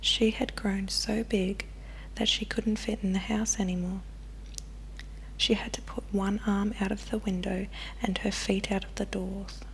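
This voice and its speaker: The speaker talks at a fairly slow pace with long, frequent pauses, and noticeable background noise can be heard. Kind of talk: ASMR bedtime story reading. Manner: softly spoken, whispering.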